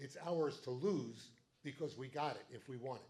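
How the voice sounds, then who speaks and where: A man speaks with a fairly high pitch and a somewhat breathy quality. His pitch variation is ordinary. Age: 70s. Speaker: political party meeting chair. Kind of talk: meeting speech. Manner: animated.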